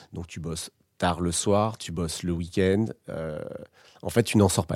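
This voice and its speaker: A man's very deep, low voice, dark and mellow, at a fairly slow pace on a very clean recording with a silent background. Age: 30s. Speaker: former advertising professional. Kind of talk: personal testimony. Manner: halting, many fillers and repetitions.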